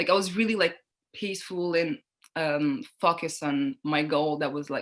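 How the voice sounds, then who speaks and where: A woman speaks with a French accent at a moderate pace. Her pitch is fairly low. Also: ordinary pitch variation. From Niger and Montreal, Canada. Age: 20s. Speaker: model and student. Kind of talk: interview. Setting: video call. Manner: hesitant, many fillers.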